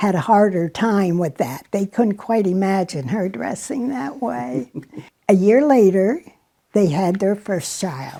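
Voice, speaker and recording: A woman speaks very slowly in a dark, mellow tone. Her pitch swings very widely. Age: 90s. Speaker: elderly relative sharing family history. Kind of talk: interview reminiscence. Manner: halting, with frequent fillers.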